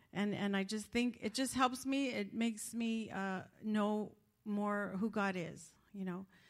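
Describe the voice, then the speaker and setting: A woman speaks at a fairly slow pace in a plain, everyday voice, her pitch medium and her intonation fairly even. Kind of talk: testimony.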